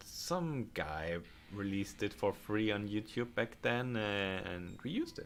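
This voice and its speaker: A man with a German accent, fairly low in pitch, at a fairly slow pace with ordinary pitch variation. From Germany. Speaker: game modder and livestreamer. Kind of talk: livestream chat while working. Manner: halting.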